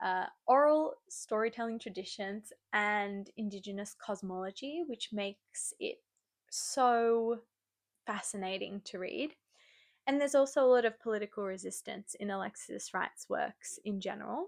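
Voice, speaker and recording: Sounding enthusiastic, a woman with an Australian accent and a fairly high pitch speaks at a moderate pace with ordinary pitch variation, in a very clean recording with a silent background. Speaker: book reviewer. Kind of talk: casual book review monologue. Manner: enthusiastic, rambling with self-corrections.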